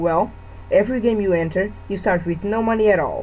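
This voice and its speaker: A woman with a Portuguese accent, medium pitch, ordinary pitch variation and a moderate pace. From Portugal. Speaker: gamer. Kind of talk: game review voice-over.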